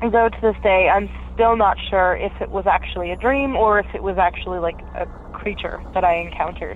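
There is noticeable background noise. A woman talks at a moderate pace over it. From Pennsylvania. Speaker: caller. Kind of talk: recorded voicemail story.

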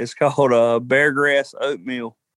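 In a Southern US accent, a man speaks at a fairly slow pace and fairly high pitch, the sound dry and close with no echo. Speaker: cook-off contestant. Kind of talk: interview. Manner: casual, hesitant.

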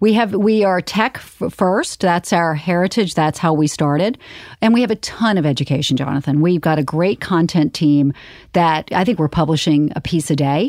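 An unremarkable speaking voice from a woman with an American accent, fairly low in pitch, at a moderate pace, with lively intonation and very even loudness, dry and close with no echo, on a very clean recording with a silent background. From US South, Charleston, South Carolina. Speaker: finance executive. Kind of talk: interview conversation. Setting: studio.

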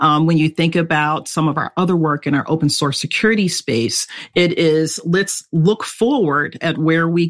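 Dry and close with no echo, a woman's ordinary speaking voice comes at fairly low pitch and a moderate pace with ordinary pitch variation. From US East Coast. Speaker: security engineering executive. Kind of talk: interview.

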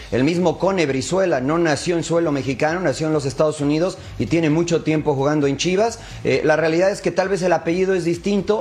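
The speech moves at a fairly quick pace with ordinary pitch variation. Noticeable background noise can be heard. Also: man. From Mexico. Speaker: football pundit. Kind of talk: casual chat.

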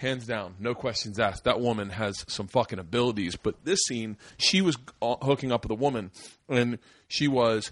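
An ordinary speaking voice moves at a moderate pace with ordinary pitch variation over a quiet background. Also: man, medium pitch for a man. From Florida. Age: 40s. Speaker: comedian and podcast host. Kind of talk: casual chat. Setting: studio.

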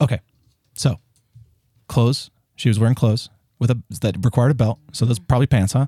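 A somewhat breathy man with an American accent speaks at a medium pitch and a fairly quick pace, broken by long, frequent pauses. His loudness stays very even, his pitch varies in an ordinary way, and the sound is dry and close with no echo. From US South. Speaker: actor. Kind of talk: casual chat.

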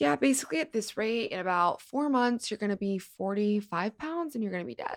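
A woman with an American accent and a normal speaking voice, fairly high in pitch, talks at a fairly quick pace on a very clean recording with a silent background. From US West Coast, Los Angeles. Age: 20s. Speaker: model and actress. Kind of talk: casual interview chat. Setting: studio.

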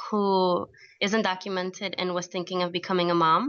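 A woman's plain, everyday voice with an American accent, medium in pitch, fairly even in intonation, at a moderate pace. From US, New York (came from Colombia at three). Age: 20s. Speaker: advice columnist and immigrant activist. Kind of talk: radio interview.

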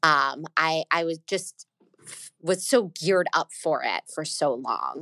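A woman with an American accent speaks at a very slow pace, at a fairly low pitch with ordinary pitch variation. Her tone is bright and sharp with vocal fry, and the sound is dry and close with no echo. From US South, Atlanta, Georgia. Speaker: schoolteacher and mother. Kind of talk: testimony.

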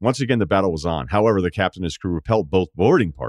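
Pitch moves in an ordinary way throughout this natural reading voice.

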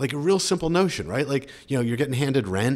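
The speech comes in a Philadelphia accent. The pace is very fast. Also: man. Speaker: sports team co-owner and entrepreneur. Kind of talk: casual interview.

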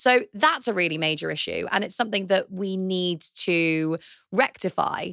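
A woman with a British accent speaks at a moderate pace, her medium-pitched voice showing ordinary pitch variation. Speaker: economist and author. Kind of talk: casual political discussion.

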